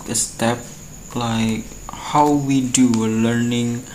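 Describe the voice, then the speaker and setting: A man with an Indonesian accent and ordinary pitch variation, over noticeable background noise. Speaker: university student. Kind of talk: student video presentation. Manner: halting.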